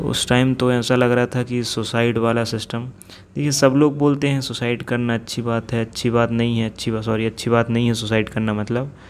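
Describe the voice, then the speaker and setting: A man's medium-pitched, monotone, flat delivery at a moderate pace with hardly any pauses. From India, Jabalpur, Madhya Pradesh. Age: 20s. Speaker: podcaster. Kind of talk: personal storytelling monologue. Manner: unscripted, spontaneous.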